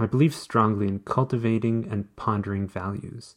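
A man's somewhat breathy, medium-pitched voice at a moderate pace with ordinary pitch variation, on a very clean recording with a silent background. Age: 40s. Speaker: blogger and podcaster. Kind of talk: reading own blog post aloud.

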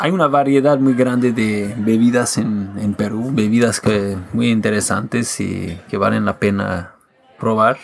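A man talks at a fairly slow pace and a medium pitch. There is noticeable background noise. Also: ordinary pitch variation. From Quebec and the United States. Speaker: musician. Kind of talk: casual chat.

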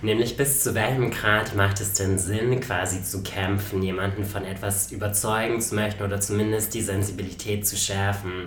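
A man with fairly low pitch talks at a moderate pace in monotone, flat intonation. Noticeable background noise and audible room echo are present. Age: 20s. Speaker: podcast host. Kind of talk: casual chat.

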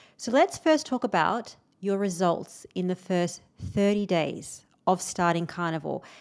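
A woman's medium-pitched voice at a fairly slow pace with ordinary pitch variation, a plain, everyday voice. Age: 40s. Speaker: podcast host. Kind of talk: interview.

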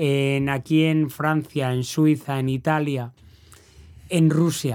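An unremarkable speaking voice from a man with a fairly high pitch and fairly even intonation comes through in a very clean recording with a silent background. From Valladolid, Spain. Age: 50s. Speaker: race announcer. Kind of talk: casual chat.

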